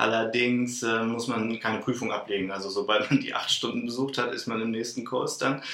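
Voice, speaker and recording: Audible room echo and noticeable background noise surround this recording. A man talks at a moderate pace and medium pitch. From northern Germany, Lower Saxony (Celle). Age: 30s. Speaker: vocational school teacher, former trainee teacher. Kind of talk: interview conversation.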